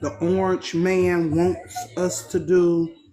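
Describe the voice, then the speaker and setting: Music plays behind a woman who talks at a very slow pace. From USA. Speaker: caller. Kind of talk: question to panel.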